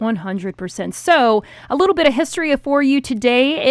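Over noticeable background noise, a woman speaks at a moderate pace in a high voice with very wide pitch swings. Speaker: radio host. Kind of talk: news podcast banter.

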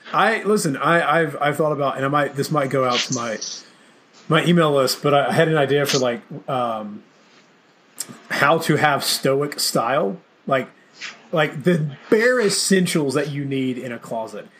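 A man with an American accent speaks at a moderate pace in a fairly high pitch, with ordinary pitch variation, long and frequent pauses, and noticeable background noise. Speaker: podcast host. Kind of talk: casual interview chat.

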